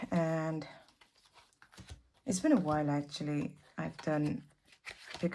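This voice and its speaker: Soft-spoken, a woman talks at a fairly slow pace in a very deep, low pitch with ordinary pitch variation. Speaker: tarot reader. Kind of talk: tarot reading.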